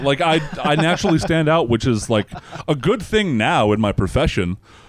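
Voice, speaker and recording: A loud man speaks at a moderate pace in a fairly high voice with vocal fry. His pitch swings very widely. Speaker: comedian. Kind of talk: casual chat. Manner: halting, many fillers.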